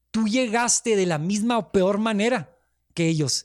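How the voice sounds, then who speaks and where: With a Mexican accent, a man talks at a fairly slow pace with ordinary pitch variation, the sound dry and close with no echo. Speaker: immigration lawyer, show host. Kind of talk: casual discussion.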